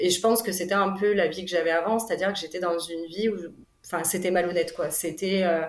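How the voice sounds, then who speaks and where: Against noticeable background noise and audible room echo, a woman talks very fast in a monotone, flat intonation. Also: medium pitch for a woman. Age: 30s. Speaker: single mother. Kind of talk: personal testimony interview. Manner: hesitant, many fillers.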